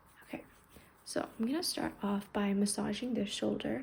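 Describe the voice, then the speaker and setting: Her voice is dark and mellow, calm and gentle, somewhat breathy, and set at medium pitch as the woman moves at a moderate pace. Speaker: ASMR creator. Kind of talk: ASMR massage roleplay. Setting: recorded without an external mic, with heater noise in the background. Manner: soft-spoken, calm, gentle.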